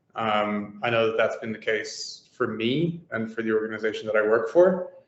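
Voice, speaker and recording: Through audible room echo, a man speaks at a medium pitch with ordinary pitch variation. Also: moderate pace. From Ireland. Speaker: immigration mentor. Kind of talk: interview.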